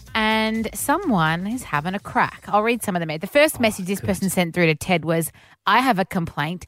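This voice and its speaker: Her Australian accent comes through in a very clean recording with a silent background, as a woman of medium pitch speaks at a fairly quick pace with lively intonation. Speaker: radio host. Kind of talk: casual chat.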